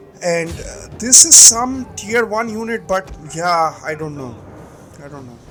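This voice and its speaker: Music runs underneath this recording. A man's voice swings very widely in pitch. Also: big swings in loudness. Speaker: gaming commentator. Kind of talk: gameplay commentary. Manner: many filler words, uh and um.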